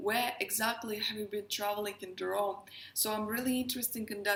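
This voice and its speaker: A woman speaks with a Russian accent. Her pitch is fairly high and her intonation fairly even. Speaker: astrologer and tarot reader. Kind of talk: casual talk to camera.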